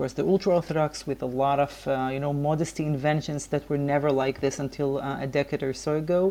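In an Israeli accent, a woman speaks fairly quickly in a very deep, low voice with a dark, mellow tone. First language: Hebrew. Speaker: civil rights lawyer and activist. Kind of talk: interview. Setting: remote call. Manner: hesitant, frequent fillers.

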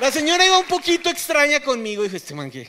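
A man's voice makes very wide pitch swings against crowd noise in the background. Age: 30s. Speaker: pastor. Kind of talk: sermon. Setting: theater stage with congregation.

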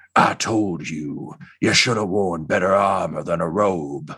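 A man puts on a character voice, raspy and growling. His pitch is very deep and low, and his pace is fairly slow.

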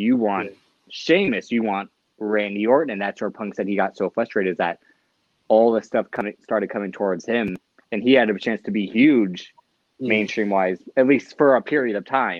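A man with an American accent has an unremarkable speaking voice, fairly low in pitch. He talks at a moderate pace with ordinary pitch variation. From California. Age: 20s. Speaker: wrestling stats contributor. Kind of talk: casual chat.

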